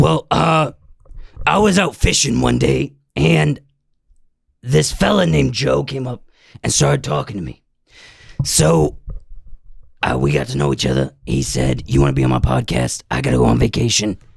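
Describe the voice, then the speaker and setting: Using a put-on character voice, a man speaks with a very deep, low pitch and a raspy edge, leaving long, frequent pauses. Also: moderate pace. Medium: solo performance. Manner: folksy, plain-spoken.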